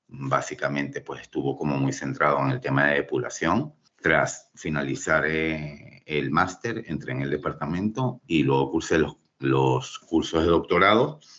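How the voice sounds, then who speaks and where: This man talks at a fairly slow pace with lively intonation and a very deep, low pitch. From Venezuela. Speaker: civil engineer. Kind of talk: interview. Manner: halting, many fillers.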